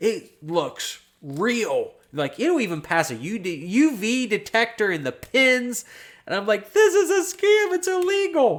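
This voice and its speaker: With an American accent and an extremely high pitch, a man speaks at a fairly slow pace through very wide pitch swings, captured in a very clean recording with a silent background. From US Midwest, southern Ohio. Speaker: real estate investor and YouTuber. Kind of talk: livestream chat. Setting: studio. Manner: rambling, casual with fillers.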